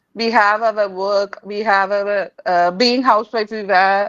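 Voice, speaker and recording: Speaking at a fairly slow pace, a woman with a Tamil accent has a medium-pitched voice. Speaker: English learner and channel host. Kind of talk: conversation interview. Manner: halting, many hesitations.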